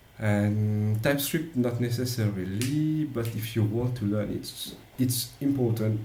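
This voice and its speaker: Audible room echo accompanies a man's medium-pitched voice and fairly even intonation. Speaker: software developer. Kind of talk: tutorial. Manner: halting.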